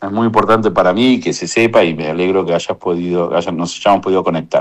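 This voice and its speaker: A man with an Argentine accent talks at a very fast pace in a very deep, low pitch. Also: ordinary pitch variation. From Argentina. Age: 60s. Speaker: economist. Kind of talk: radio interview testimony.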